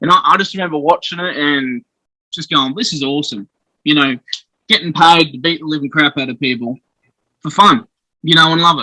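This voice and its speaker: A man with an Australian accent, fairly high in pitch, bright and sharp in tone, at a fairly quick pace with ordinary pitch variation and big swings in loudness, in a dry, close sound with no echo. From South Australia (Adelaide). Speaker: professional wrestler. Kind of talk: casual interview. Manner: hesitant, many fillers.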